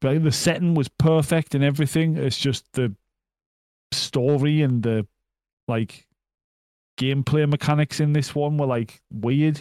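A man with a fairly high pitch and a dark, mellow tone talks at a fairly slow pace with long, frequent pauses and very even loudness, in a dry, close sound with no echo on a very clean recording with a silent background. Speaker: video game podcast co-host. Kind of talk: casual chat. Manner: laconic.

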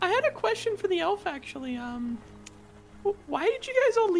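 A put-on character voice at an extremely high pitch, with very wide pitch swings, a fairly slow pace and clear background noise. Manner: stumbling, slurred.

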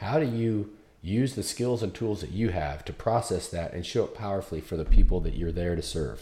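A man's fairly low, dark and mellow voice, somewhat breathy, with lively intonation at a fairly quick pace. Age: 50s. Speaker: podcast host. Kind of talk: interview.

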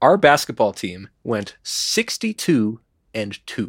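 A man speaks very slowly in an American accent, his medium pitch swinging very widely. The sound is dry and close, with no echo. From Chicago. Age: 30s. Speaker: musician and therapist. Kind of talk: casual chat. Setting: studio.

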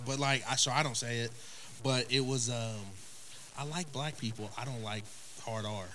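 With an Oklahoma accent, a man speaks at a moderate pace and medium pitch, his intonation fairly even, with long, frequent pauses and audible room echo around him. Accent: Oklahoma rural Southern US. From Oklahoma, US (small town Tipton). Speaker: podcast guest. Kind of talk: casual chat.

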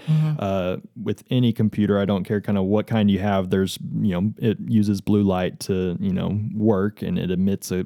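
In a West Texas accent, a man talks at a moderate pace with hardly any pauses, his fairly low voice dark and mellow with ordinary pitch variation. The sound is dry and close, with no echo. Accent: West Texas American. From Texas, Amarillo. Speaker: optometrist. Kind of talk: interview, explaining eye care. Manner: casual, many fillers.

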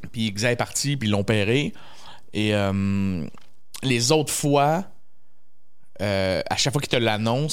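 Fairly slow delivery in a Quebec accent, with long, frequent pauses and ordinary pitch variation. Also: man. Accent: Québécois French. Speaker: comedian. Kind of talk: casual chat.

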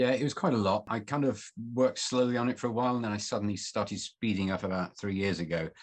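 A man speaks very fast at a fairly low pitch. His pitch varies in an ordinary way, and the background is quiet. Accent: Mancunian. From northern England, Manchester. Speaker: journalist and author. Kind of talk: interview.

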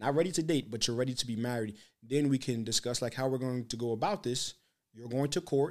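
A man's voice with ordinary pitch variation. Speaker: podcast host. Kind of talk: casual interview chat. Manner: animated, joking.

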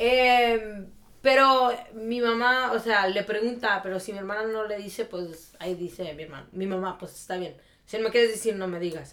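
A woman speaks at a moderate pace with big swings in loudness, in a normal speaking voice. Her pitch is fairly high, with ordinary variation. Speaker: podcast co-host. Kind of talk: casual chat.

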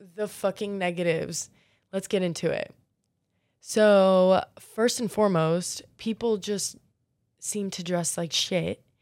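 A woman with an American accent speaks at a very slow pace, with long, frequent pauses, medium pitch and fairly even intonation. The recording is very clean, with a silent background. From US South, Florida (Marco Island). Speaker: podcast host. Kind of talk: casual monologue. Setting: in bed.

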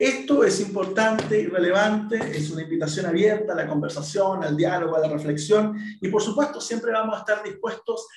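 A man's high-pitched voice at a fairly quick pace, with audible room echo. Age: 40s. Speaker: teacher and podcast host. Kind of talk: solo podcast monologue.

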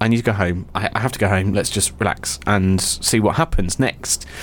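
In a southern English accent, a man talks at a moderate pace with a fairly low pitch. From English south coast. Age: young. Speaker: podcast co-host. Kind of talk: casual chat. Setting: studio. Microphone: mic sound problems at the beginning.

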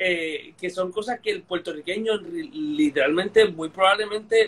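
His pitch sits high for a man, and this man's voice swings very widely up and down. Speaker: history podcast host. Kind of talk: casual history discussion on a live stream. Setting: live online video stream.

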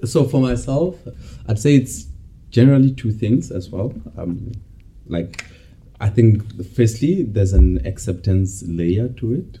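Over noticeable background noise, a man with a fairly low pitch speaks at a fairly slow pace with long, frequent pauses and very wide pitch swings. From South Africa (Bloemfontein). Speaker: MBA student. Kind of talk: casual chat.

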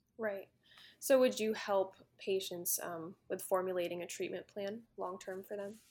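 A woman speaks in an unremarkable speaking voice at a moderate pace. Her intonation is fairly even, while her loudness swings widely. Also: medium pitch for a woman. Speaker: podcast host. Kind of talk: interview.

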